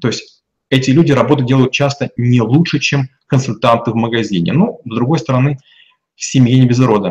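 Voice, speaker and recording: A somewhat breathy voice goes by at a fairly quick pace. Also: man, medium pitch for a man, ordinary pitch variation. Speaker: business consultant. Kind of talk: interview.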